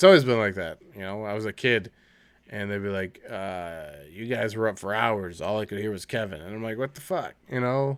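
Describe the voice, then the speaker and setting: The voice moves at a fairly quick pace, with big swings in loudness and ordinary pitch variation. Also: man, fairly low pitch for a man. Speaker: podcast co-host. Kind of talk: casual chat. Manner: animated.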